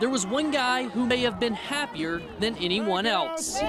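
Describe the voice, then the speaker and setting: Over noticeable background noise, a man with an American accent and an extremely high pitch speaks at a moderate pace with lively intonation. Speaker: sports anchor and reporter. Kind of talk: local TV sports reporting.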